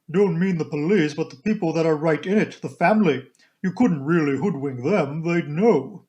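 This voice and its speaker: Using a put-on character voice, a man speaks with a fairly high pitch. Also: moderate pace. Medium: read story. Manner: clipped, telegraphic.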